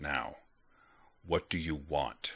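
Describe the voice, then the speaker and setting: A man's calm, put-on character voice. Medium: read story. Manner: calm, controlled.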